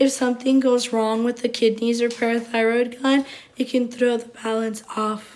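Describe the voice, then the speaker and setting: A woman talks at a high pitch in a monotone, flat intonation. She keeps a moderate pace. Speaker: nursing student. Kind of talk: class presentation.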